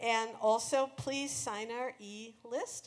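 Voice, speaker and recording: A woman with a fairly high pitch speaks at a very slow pace. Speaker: author and musician. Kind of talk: live concert closing remarks to audience. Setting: live venue. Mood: warm, thankful. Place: stage.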